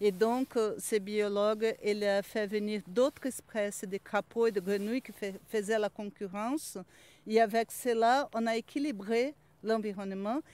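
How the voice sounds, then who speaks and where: An ordinary speaking voice from a woman, fairly high in pitch, with fairly even intonation and a dry sound with no echo. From Brazil. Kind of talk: casual chat. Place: open country. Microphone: handheld.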